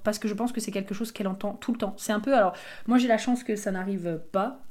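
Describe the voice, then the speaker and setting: At a very fast pace, a woman speaks in a somewhat breathy voice with fairly even intonation. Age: 20s. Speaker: podcast host, human design coach. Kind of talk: casual solo monologue. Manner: hesitant, many fillers.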